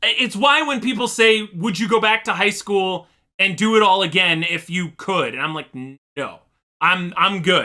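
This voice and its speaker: A man's raised, projected voice, high in pitch, with a bright, sharp tone, ordinary pitch variation and a moderate pace. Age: adult. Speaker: YouTube reaction streamer. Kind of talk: casual reaction commentary.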